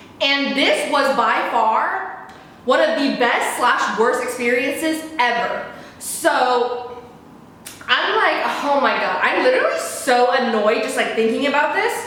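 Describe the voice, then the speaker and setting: Over noticeable background noise, a woman speaks at a high pitch and a fairly slow pace with ordinary pitch variation. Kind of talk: casual talk to camera. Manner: frantic, annoyed.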